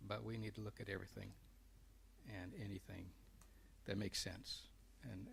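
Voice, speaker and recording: A man talks at a fairly quick pace. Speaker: council seat applicant. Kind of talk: interview. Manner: soft-spoken. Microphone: too quiet.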